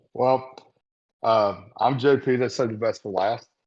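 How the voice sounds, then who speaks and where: With an American accent, an ordinary speaking voice moves at a moderate pace with fairly even intonation. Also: man. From United States. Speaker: podcast co-host. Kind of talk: casual chat.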